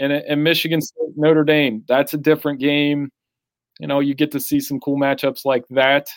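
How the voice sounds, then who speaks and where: In a very clean recording with a silent background and a dry, close sound with no echo, a man with an American accent speaks at a moderate pace in a fairly high, monotone, flat voice. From Central Ohio, US. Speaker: sports writer. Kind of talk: casual chat.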